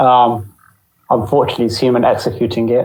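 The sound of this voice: The tone is slightly mellow, with little pitch movement. Audible room echo is present. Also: man, medium pitch for a man, fairly quick pace.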